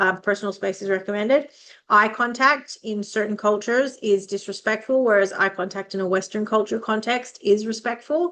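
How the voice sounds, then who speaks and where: Fairly high in pitch, a woman speaks with an Australian accent at a fairly quick pace, her pitch variation ordinary and her tone bright and sharp. The background is quiet. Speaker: vocational training consultant. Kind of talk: educational podcast monologue. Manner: fast; casual, conversational.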